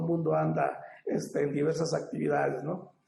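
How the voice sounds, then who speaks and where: A man speaking at a moderate pace amid audible room echo. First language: Popoluca (speaking Spanish). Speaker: ethnolinguist academic panelist. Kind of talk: academic panel talk. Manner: halting, many fillers.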